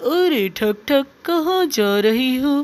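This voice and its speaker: This female-sounding voice is a cartoonish character voice pitched high. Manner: chatty, lively.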